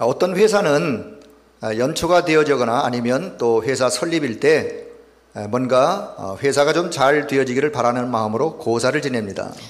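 Noticeable background noise and audible room echo surround this recording. A man with a fairly high pitch talks at a fairly slow pace, using ordinary pitch variation. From South Korea, North Gyeongsang, Yecheon. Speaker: pastor. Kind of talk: sermon with consecutive interpretation. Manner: pausing for interpreter after each sentence.

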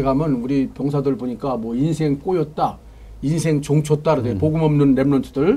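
This man has a fairly high pitch for a man and a dark, mellow, somewhat breathy tone, speaking at a moderate pace. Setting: studio. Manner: animated.

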